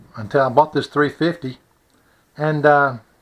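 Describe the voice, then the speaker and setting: Here a man talks at a moderate pace. His pitch is fairly high. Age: 60s. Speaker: hobbyist video maker. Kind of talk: casual tutorial. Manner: hesitant, many fillers.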